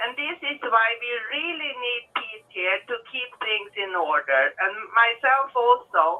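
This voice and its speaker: A woman with a Swedish accent talks at a very slow pace, with hardly any pauses. Her pitch is high and her intonation lively. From Sweden. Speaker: caller. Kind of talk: casual chat. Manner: halting.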